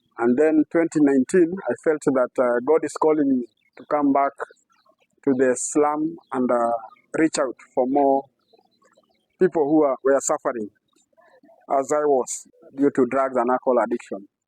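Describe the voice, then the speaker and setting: A man with a Kenyan accent, fairly high-pitched and fairly even in intonation, at a moderate pace with long, frequent pauses, in a dry, close sound with no echo. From Kenya, Nairobi. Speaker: community library founder, former addict. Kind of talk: interview answer. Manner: hesitant, many fillers.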